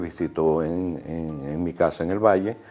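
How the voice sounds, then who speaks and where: Noticeable noise hums behind the voice. The speaker is a man. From Venezuela (Miranda, after early childhood in New York). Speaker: painter. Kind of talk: documentary interview. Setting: artist's studio. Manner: halting, frequent fillers and repetitions.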